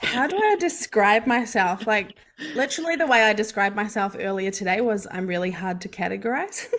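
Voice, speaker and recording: Against noticeable background noise, a woman with a New Zealand accent talks at a fairly quick pace, her fairly high pitch carrying lively intonation. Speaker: mindset coach and hypnotherapist. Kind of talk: podcast interview.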